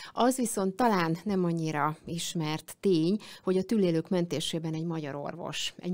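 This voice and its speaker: Pitch varies in an ordinary way while the words come at a fairly slow pace. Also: woman. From Hungary. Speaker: radio show host. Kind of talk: interview. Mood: warm, smiling. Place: studio. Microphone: studio mic.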